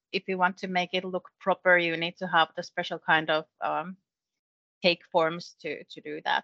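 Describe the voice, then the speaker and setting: Bright and sharp in tone, this voice speaks in a Finnish accent at a moderate pace. The intonation is flat and monotone, and the sound is dry and close with no echo. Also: woman, fairly low pitch for a woman. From Finland, Kokkola. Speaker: education export specialist. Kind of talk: casual chat.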